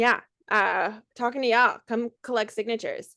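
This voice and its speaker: Against a quiet background, a woman with an American accent speaks in a fairly high, bright, sharp voice. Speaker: workshop host and organizer. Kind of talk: live video workshop moderation.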